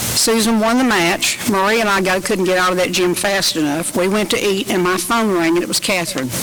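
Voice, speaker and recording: With a Tennessee accent, a woman talks at a fairly quick pace and very even loudness over noticeable background noise. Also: medium pitch for a woman, ordinary pitch variation, hardly any pauses. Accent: Southern US (Tennessee). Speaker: retired volleyball referee. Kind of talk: memorial eulogy. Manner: fast.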